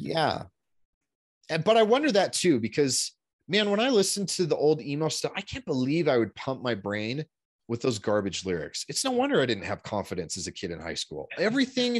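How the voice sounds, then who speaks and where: A man's voice with very wide pitch swings and vocal fry, at a fairly quick pace, in a dry, close sound with no echo. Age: 30s. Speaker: men's style coach. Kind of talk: podcast interview.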